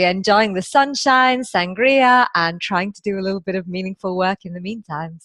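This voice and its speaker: The recording sounds dry and close, with no echo. A woman with a British accent speaks at a moderate pace, her pitch swinging very widely. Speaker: positive psychologist and coach. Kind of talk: interview.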